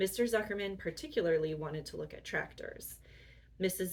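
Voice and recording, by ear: The speaker is reading aloud in a natural voice. The delivery is a reading.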